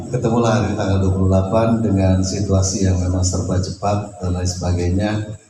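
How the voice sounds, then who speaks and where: Noticeable background noise and audible room echo surround a man with a very deep, low pitch. He speaks at a fairly quick pace in a monotone, flat intonation. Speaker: host of the gathering, Islamic cleric. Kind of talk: welcome speech. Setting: home gathering.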